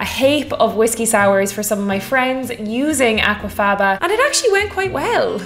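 Faint music plays in the background. The speech moves at a moderate pace with hardly any pauses. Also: woman. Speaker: cocktail channel host. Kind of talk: casual vlog chat. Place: kitchen.

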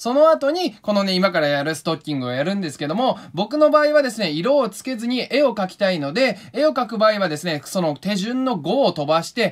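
The speaker's tone is animated. Their pitch swings very widely. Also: man. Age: 20s. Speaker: painter and video creator. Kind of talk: casual craft tutorial vlog.

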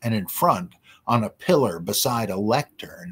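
An unforced reading voice is heard. It carries the whole clip.

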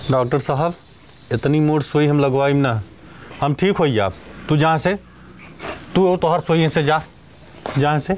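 Speaking fairly slowly with long, frequent pauses, a man keeps his loudness very even and his pitch varying in an ordinary way against light background noise. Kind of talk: acted comic dialogue. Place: open country.

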